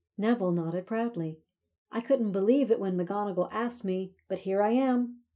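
Against a quiet background, the voice is plain reading aloud with ordinary pitch variation.

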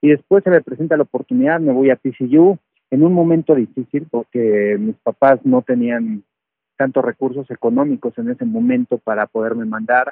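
A man talks in an ordinary speaking voice at medium pitch, keeping a moderate pace and lively intonation. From Mexico City. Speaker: retired American football player and sports analyst. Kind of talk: interview testimony.

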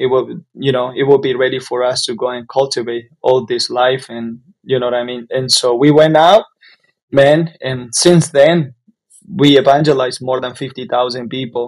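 At a moderate pace, a man speaks with a Spanish accent. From Nicaragua, Jalapa. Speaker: pastor and church planter. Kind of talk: casual interview.

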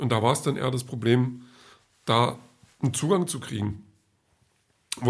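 The voice carries vocal fry and ordinary pitch variation. It moves at a moderate pace. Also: man. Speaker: podcaster. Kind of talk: casual monologue diary. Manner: hesitant, many filler sounds.

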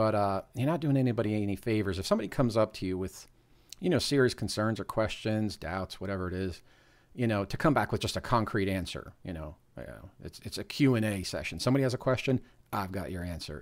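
Talking at a very fast pace, a man with an American accent has a fairly low pitch and ordinary pitch variation. The recording is very clean, with a silent background. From US, northern New Jersey. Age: 40s. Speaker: podcast co-host. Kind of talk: casual chat.

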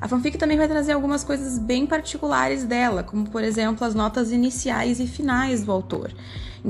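Fairly high-pitched speech from a woman, fairly quick, against noticeable background noise. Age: 20s. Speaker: student teacher presenting a class project. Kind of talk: scripted educational presentation.

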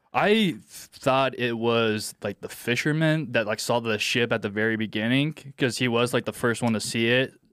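Here a man talks at a moderate pace and medium pitch, with fairly even intonation and hardly any pauses. The recording is very clean and the background silent. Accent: American. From US Midwest, Indiana. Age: 20s. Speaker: podcast producer filling in as co-host. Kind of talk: casual chat. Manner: halting, many false starts and fillers.

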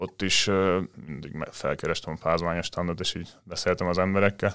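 A man's very deep, low-pitched voice at a fairly quick pace, in a very clean recording with a silent background. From Hungary, Dunaújváros. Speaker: volleyball player and law student. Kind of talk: casual interview.

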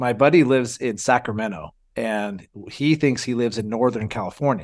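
The recording is very clean, with a silent background. The pitch varies in an ordinary way. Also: man. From US West Coast. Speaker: firefighter podcast host. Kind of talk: casual chat.

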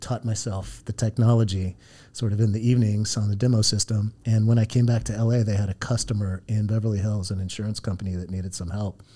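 A man speaks at a fairly quick pace in a flat monotone. His fairly low voice is dark, mellow and somewhat breathy. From Southern California. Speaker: startup founder and CEO. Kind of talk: interview conversation. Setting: studio. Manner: hesitant with frequent fillers.

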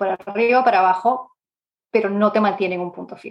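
This woman's voice sits at a medium pitch. She delivers everything in a flat, monotone way. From Peru, Lima. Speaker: product management expert. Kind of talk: interview. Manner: hesitant, many fillers.

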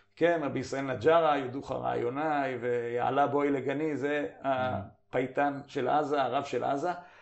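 With a plain, everyday voice, a man talks at a fairly slow pace and fairly high pitch, his intonation fairly even and hardly any pauses between words. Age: 50s. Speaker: journal editor and commentator. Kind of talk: interview.

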